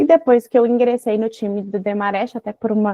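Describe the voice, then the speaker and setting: A woman speaks with a Minas Gerais accent. Her pitch sits fairly high. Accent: Minas Gerais Brazilian Portuguese. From Brazil, Minas Gerais. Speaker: mining lawyer. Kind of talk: online seminar talk.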